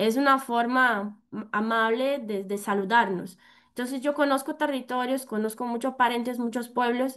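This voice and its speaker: Speaking with a Brazilian accent, a woman uses a high pitch, fairly even intonation and a moderate pace. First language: Portuguese (speaking Spanish). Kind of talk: conference presentation. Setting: virtual event. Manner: halting, many fillers.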